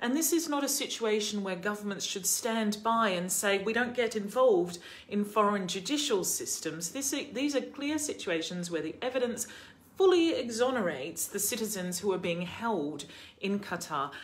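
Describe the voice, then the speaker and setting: Her intonation lively, a woman speaks at a moderate pace. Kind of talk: commentary. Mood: serious, concerned. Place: home room. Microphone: phone near.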